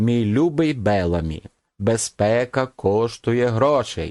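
In a put-on character voice, a man drawls at a fairly slow pace with lively intonation and a medium pitch, recorded very cleanly with a silent background and a dry, close sound with no echo. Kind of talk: languid, disdainful. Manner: drawled, carelessly contemptuous.

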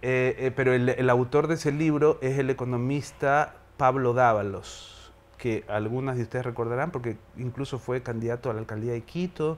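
A man's voice at a moderate pace, with fairly even intonation. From Ecuador, Guayaquil; Ecuador. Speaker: theatre director and university teacher; teacher. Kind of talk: interview. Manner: hesitant, many fillers. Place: studio.

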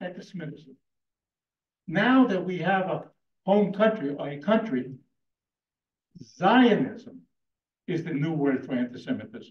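Against a quiet background with audible room echo, a high-pitched man talks at a fairly slow pace, his pitch swinging very widely between long, frequent pauses. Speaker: debater, community leader. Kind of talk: heated debate. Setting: stage with audience. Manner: animated. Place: hall. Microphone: handheld.

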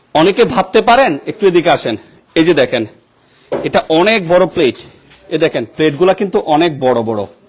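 This man's high voice moves through very wide pitch swings. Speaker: local news video reporter. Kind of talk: on-location news report. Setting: outdoors and inside a burgled house. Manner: animated.

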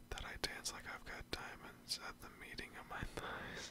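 Whispering, a man proceeds at a fairly slow pace. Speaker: ASMR creator. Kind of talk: poetry reading. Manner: whispered, soft, up close. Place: home room. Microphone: studio mic.

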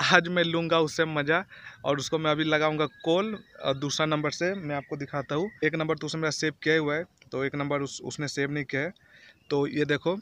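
Bright and sharp in tone, a man speaks with fairly even intonation, the sound dry with no echo. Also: moderate pace. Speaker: vlogger. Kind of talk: casual vlog chat. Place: open country. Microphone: phone near.

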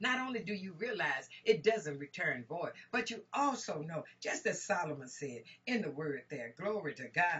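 Energetic in tone, a woman speaks at a fairly slow pace, her pitch swinging very widely. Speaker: minister, Bible teacher. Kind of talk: sermon, Bible teaching. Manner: energetic, exclamatory, preacher-like delivery. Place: home room. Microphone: webcam.

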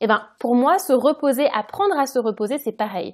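Over a silent background in a very clean recording, a woman with a high voice talks at a fairly quick pace with lively intonation. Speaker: podcast host and career change coach. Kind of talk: solo podcast monologue, casual advice. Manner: casual, conversational.

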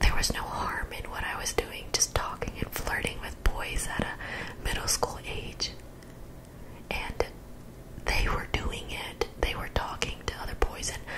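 A soft-spoken woman's whisper at a fairly slow pace, over loud background noise. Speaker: video creator. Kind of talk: personal storytelling vlog. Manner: soft close-mic whisper. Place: home room. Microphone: studio mic.

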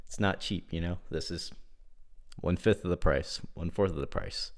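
A man rattles along at a very fast pace, with a quiet background behind him. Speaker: product reviewer. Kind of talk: casual review chat. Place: home room.

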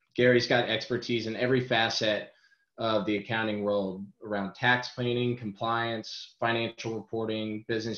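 Against a quiet background with audible room echo, a man talks at a moderate pace in a monotone, flat delivery. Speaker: webinar host introducing presenter. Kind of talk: webinar introduction. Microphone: webcam.

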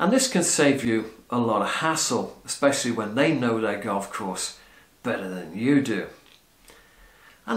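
Room echo can be heard. A man talks at a moderate pace. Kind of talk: casual vlog chat. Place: home room. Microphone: camera far.

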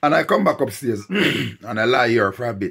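His pitch moves in an ordinary way. The voice belongs to a man. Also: quiet background. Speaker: vlogger. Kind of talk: casual vlog chat. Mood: unwell, describing a throat complaint. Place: home room. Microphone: phone near.

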